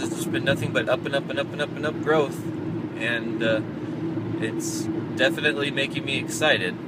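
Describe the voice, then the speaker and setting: Loud background noise surrounds a man talking at a fairly quick pace, the sound dry with no echo. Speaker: vlogger. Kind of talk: casual vlog chat. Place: car. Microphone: phone near.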